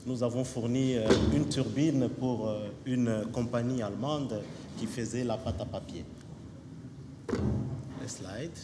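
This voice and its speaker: Amid noticeable background noise and audible room echo, a man with a medium-pitched voice speaks very slowly, with ordinary pitch variation and long, frequent pauses. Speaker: company representative. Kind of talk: conference presentation. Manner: hesitant, many fillers.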